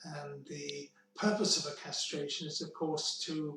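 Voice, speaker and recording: This man talks at a very slow pace. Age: 70s. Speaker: cancer survivor telling his story. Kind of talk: personal testimony. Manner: measured, with hesitations.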